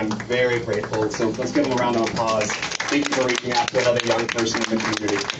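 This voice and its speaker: A man with an American accent at medium pitch and a very fast pace, with monotone, flat intonation, audible room echo, and noticeable background noise. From Texas, Corpus Christi. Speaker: student climate advocate. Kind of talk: public talk. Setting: boat meeting with audience. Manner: hesitant, many fillers.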